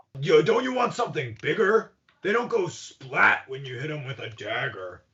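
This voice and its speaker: In a put-on character voice, a man sounds gruff and fairly high-pitched, with very wide pitch swings at a moderate pace. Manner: gruff, grunting.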